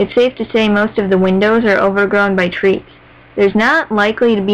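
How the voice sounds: Fairly even intonation in a natural reading voice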